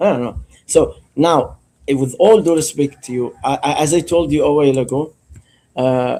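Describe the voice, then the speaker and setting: A man with an Arabic accent speaks at a moderate pace and fairly high pitch. His tone is dark and mellow, with ordinary pitch variation. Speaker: caller. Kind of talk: religious debate.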